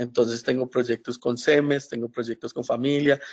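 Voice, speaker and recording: A man speaks at medium pitch. His intonation is monotone and flat. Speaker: professor. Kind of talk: webinar lecture. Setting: online webinar. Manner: hesitant, many fillers.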